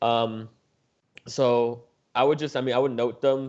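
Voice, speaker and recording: A man is speaking. His intonation is flat and monotone. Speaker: student tutor leading anatomy review. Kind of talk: tutoring review session. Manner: fast; casual, filler-heavy.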